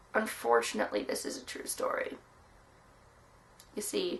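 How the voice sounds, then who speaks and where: A woman puts on a raspy character voice. She speaks at a moderate pace. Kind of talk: deadpan tall tale. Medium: solo performance. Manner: rambling, hesitant, conspiratorial.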